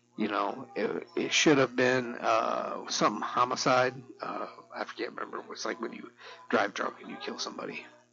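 Music plays in the background as a man talks at a moderate pace. His loudness swings widely. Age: 50s. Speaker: solo podcaster. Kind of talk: casual monologue.

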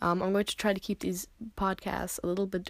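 Speech at a fairly quick pace comes through a very clean recording with a silent background. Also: woman. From US, New Jersey. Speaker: podcast host. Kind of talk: casual monologue. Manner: halting, many fillers.

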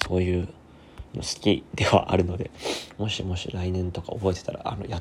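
The voice is somewhat breathy and monotone, with flat intonation at a fairly quick pace. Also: man, very deep, low pitch for a man. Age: 20s. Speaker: podcaster and musician. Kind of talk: casual solo monologue. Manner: fast.

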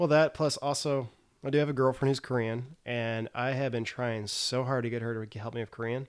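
Against a silent background in a very clean recording, a man with an American accent speaks fairly quickly at medium pitch with fairly even intonation. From US South, Tennessee. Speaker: English teacher. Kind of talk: casual chat.

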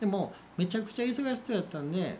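Audible room echo surrounds a man speaking in a Kansai accent at a fairly quick pace. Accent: Kansai Japanese. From Wakayama, Japan (Kinokawa). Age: 40s. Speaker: coffee roaster and cafe owner. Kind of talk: interview.

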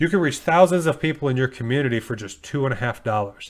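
A man talks in a medium pitch with ordinary pitch variation, in a plain, everyday voice. The recording is very clean with a silent background. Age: 40s. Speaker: coffee shop owner and podcast host. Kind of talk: solo podcast tutorial. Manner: casual, with frequent fillers.

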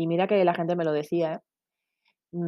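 The speaker is a woman with a fairly low voice. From Basque Country, Spain (San Sebastián). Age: 30s. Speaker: podcast host, parenting blogger. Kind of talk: solo podcast monologue. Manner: halting, many fillers.

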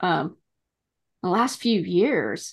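Vocal fry and lively intonation from a woman over a quiet background. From New England. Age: 50s. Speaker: podcast co-host. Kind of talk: casual interview chat.

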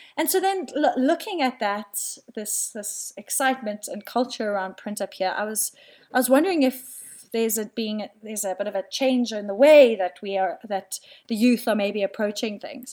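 A woman with a South African accent talks at a moderate pace in a fairly high pitch with lively intonation, on a very clean recording with a silent background. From South Africa, Cape Town. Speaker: artist, printmaker. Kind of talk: casual interview. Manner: hesitant, many fillers.

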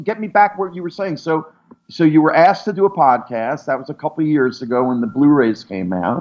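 A man with an American accent speaks at a moderate pace. His fairly high pitch swings very widely. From US. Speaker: artist and pop culture historian. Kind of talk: interview. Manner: animated.

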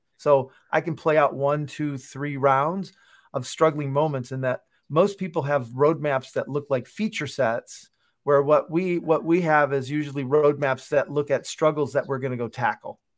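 Against a quiet background, a man speaks in an unremarkable speaking voice, fairly high in pitch, with fairly even intonation at a moderate pace. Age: 50s. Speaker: product developer and author. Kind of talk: interview.

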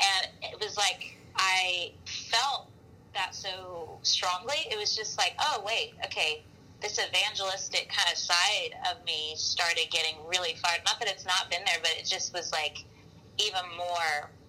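A woman with an Alabama accent, medium pitch and ordinary pitch variation, at a fairly slow pace. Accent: Southern US (Alabama). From US South, Mobile, Alabama. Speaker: worship leader and pastor. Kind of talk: casual interview. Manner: animated.

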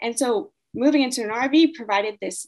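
With an American accent and a fairly high pitch, a woman uses a normal speaking voice full of lively intonation. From US, California. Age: 20s. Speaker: mindset coach and traveler. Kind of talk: interview answers.

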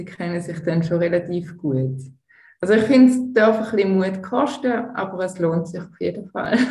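A woman speaks at a fairly slow pace in a dark, mellow, somewhat breathy tone, with lively intonation, big swings in loudness and audible room echo. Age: 40s. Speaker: tantra massage therapist. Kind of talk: interview.

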